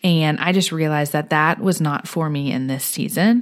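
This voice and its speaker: With an American accent and a plain, everyday voice, the speaker keeps a moderate pace and ordinary pitch variation in a very clean recording with a silent background. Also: woman. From Houston, Texas. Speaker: homemaker and wellness educator. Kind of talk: casual chat.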